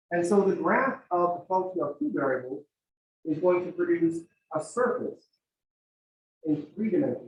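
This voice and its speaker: A man talks loudly at a moderate pace. His pitch is high. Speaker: math teacher. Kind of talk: lecture.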